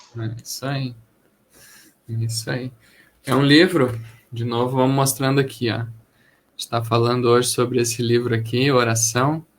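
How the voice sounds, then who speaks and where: With long, frequent pauses, a man talks in a flat monotone at medium pitch and a moderate pace. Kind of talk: live stream book chat host.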